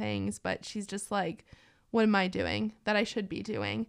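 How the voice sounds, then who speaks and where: With an American accent, a woman speaks at a moderate pace and medium pitch in a normal speaking voice on a very clean recording with a silent background. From Minnesota. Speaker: university student, student agency media coordinator. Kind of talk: casual podcast chat.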